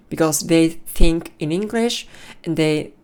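At a very slow pace, a woman speaks with a fairly low pitch and ordinary pitch variation. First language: Japanese. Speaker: podcaster practicing English. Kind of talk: solo monologue practice. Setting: alone in room. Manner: halting.

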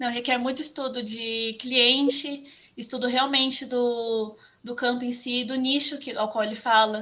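A woman's high-pitched voice with a bright, sharp tone, monotone, flat intonation, and a fairly slow pace, in a very clean recording with a silent background. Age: 20s. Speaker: graphic designer. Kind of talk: interview.

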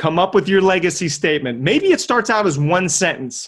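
A man with a high voice speaks at a moderate pace in an energetic tone with lively intonation. The recording is very clean with a silent background. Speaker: podcast host and health coach. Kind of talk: motivational monologue.

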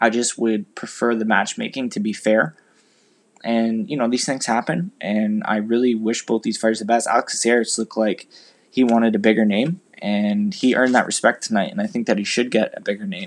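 A normal speaking voice, a man at medium pitch, fairly quick in pace with ordinary pitch variation. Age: 20s. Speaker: podcast host and amateur MMA fighter. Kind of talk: solo commentary podcast.

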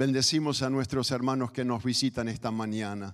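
A man with an unremarkable speaking voice talks at a moderate pace and medium pitch, with ordinary pitch variation. The recording is very clean, the background silent. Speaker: missionary preacher. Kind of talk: sermon. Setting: church.

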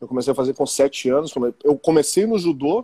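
A man's fairly high-pitched voice has a dark, mellow tone and ordinary pitch variation, moving at a fairly quick pace in a dry, close sound with no echo. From Porto Alegre, southern Brazil. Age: 40s. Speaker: physical education teacher and football referee. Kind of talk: casual interview.

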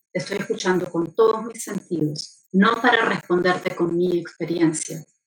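Her pace is moderate. This woman's pitch moves up and down in an ordinary way. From Argentina, later Venezuela. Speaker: journalist and motorsport communications professional. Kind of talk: interview conversation. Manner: animated.

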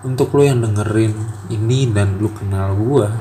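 Fairly even intonation at a fairly slow pace, with noticeable background noise and audible room echo. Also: man. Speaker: solo podcaster. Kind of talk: personal monologue. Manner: halting, many pauses and fillers. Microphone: quiet recording.

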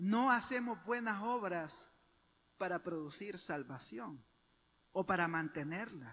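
Lively intonation marks a man's high-pitched voice at a very slow pace, with long, frequent pauses. The recording is very clean, with a silent background. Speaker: preacher. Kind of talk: sermon. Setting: church. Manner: fervent, persuasive pulpit delivery; earnest, didactic, rising intensity.

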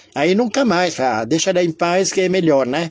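High-pitched male voice with ordinary pitch variation and noticeable background noise. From Lebanon (Beirut). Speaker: memoir storyteller. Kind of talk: personal storytelling monologue. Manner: halting, many fillers.

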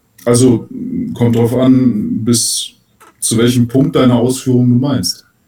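Somewhat breathy and dark, mellow in tone, a man at a medium pitch speaks at a very slow pace with long, frequent pauses. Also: fairly even intonation. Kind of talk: casual chat.

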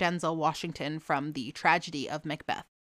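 At a moderate pace, a woman talks with an American accent. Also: very clean recording, silent background. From New England, US (Boston area). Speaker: podcast host. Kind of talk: casual solo commentary. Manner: animated, rambling.

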